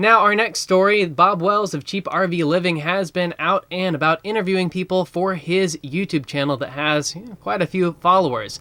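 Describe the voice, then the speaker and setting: Here a man talks at a high pitch with a bright, sharp tone. His moderate pace comes with hardly any pauses. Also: ordinary pitch variation. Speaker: news anchor. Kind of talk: news broadcast read.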